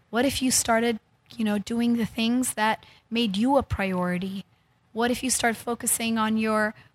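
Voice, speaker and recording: A woman speaks at a fairly high pitch and a moderate pace, somewhat breathy and with fairly even intonation, in a dry, close sound with no echo. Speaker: healer and wellness center founder. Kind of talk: interview, casual chat. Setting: studio.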